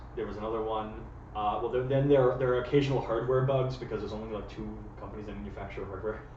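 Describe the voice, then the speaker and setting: Amid noticeable background noise and audible room echo, a man with a Canadian accent speaks at a very fast pace with big swings in loudness. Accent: sounds Canadian. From United States. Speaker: friend of the host. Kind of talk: casual chat. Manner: fast, stammering with repeated words.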